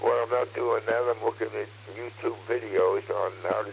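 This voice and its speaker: Noticeable noise surrounds a man who talks at a moderate pace. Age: 80s+. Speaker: ham radio operator. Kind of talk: radio net conversation. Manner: halting.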